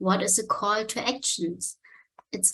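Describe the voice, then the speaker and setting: With a non-native accent, a woman speaks. Her pitch is medium. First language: German. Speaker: marketing and online communication specialist. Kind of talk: conference talk. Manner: halting.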